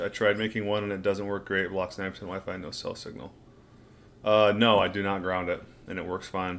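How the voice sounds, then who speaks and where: With a plain, everyday voice, a man talks at a fairly quick pace and fairly low pitch, his volume swinging widely. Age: 60s. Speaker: diet and health channel host. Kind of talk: livestream Q&A reading chat. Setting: livestream at home. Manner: casual.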